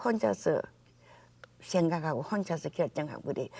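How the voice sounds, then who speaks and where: This woman speaks with a fairly low pitch and a dark, mellow tone. Her pace is moderate, and vocal fry runs through her voice. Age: 80s+. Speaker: philanthropist. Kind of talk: interview answer.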